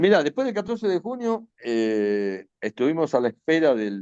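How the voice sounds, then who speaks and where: In an Argentine accent, a man speaks in a fairly high voice with very wide pitch swings, the sound dry and close with no echo against a quiet background. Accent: Rioplatense Argentine Spanish. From Argentina, Buenos Aires. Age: 60s. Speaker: retired air force officer and war veteran. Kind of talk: interview testimony. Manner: hesitant, with many fillers and restarts.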